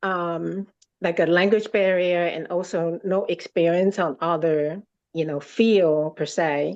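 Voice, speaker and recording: A woman talks at a very slow pace, with a quiet background behind her. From Taiwan. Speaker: podcast guest. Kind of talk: interview. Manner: halting, many fillers.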